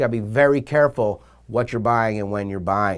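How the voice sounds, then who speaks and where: A man speaks fairly quickly, and the recording is very clean with a silent background. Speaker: real estate broker. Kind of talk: sales pitch. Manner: fast; animated.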